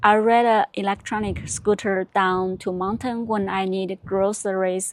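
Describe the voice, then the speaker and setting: A woman with a Chinese accent speaks at a medium pitch and moderate pace, with ordinary pitch variation, in a very clean recording with a silent background. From China. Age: 30s. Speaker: vlogger. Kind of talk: personal vlog narration. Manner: halting, with repetitions.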